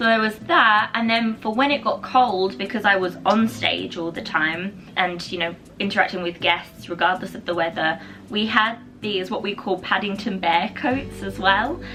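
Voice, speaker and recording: Noticeable background noise sits behind a woman speaking at a moderate pace, her medium pitch showing ordinary variation. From England. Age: 20s. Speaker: vlogger, former theme park worker. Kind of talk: casual chat.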